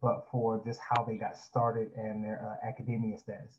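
A somewhat breathy voice in an American accent, with a moderate pace and monotone, flat intonation. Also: man. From Florida, Jacksonville. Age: 20s. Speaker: pastor. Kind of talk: interview.

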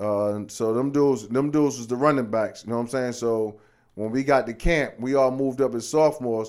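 A man's ordinary speaking voice with an American accent, medium in pitch, fairly quick in pace and fairly even in intonation. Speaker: former high school football player. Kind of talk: casual interview. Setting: studio.

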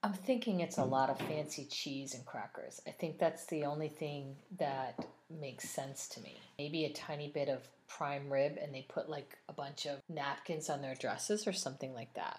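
A woman talks in a very deep, low voice that is somewhat breathy. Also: ordinary pitch variation, moderate pace, big swings in loudness. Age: 40s. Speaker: wine and food podcast co-host. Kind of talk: casual chat. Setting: home recording with spouse.

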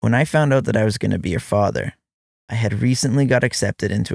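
Fairly quick and dry, this close, echo-free recording carries an unremarkable speaking voice with ordinary pitch variation. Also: man. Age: 30s. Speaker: father writing letters to his child. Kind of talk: reading aloud a personal letter.

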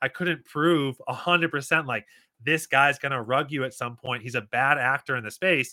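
Moderate pacing and ordinary pitch variation from a man with a plain, everyday voice, fairly high for his sex. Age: 30s. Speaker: crypto gaming content creator and investor. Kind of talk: casual interview.

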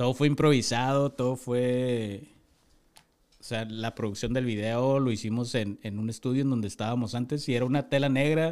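Recorded very cleanly with a silent background, a man with an ordinary speaking voice talks at a moderate pace, at medium pitch and with fairly even intonation. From Tijuana, Mexico. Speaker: rapper. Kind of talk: casual chat.

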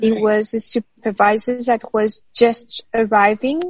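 A woman's fairly high, somewhat breathy voice with a French accent. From France. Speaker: former PhD student, journalist. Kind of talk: interview.

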